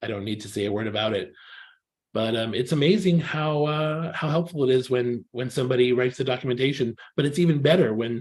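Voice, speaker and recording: A man with a Californian accent speaks very fast at a medium pitch. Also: ordinary pitch variation. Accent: California. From California, US. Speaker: technical writer, workshop mentor. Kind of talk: online presentation. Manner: hesitant, many fillers.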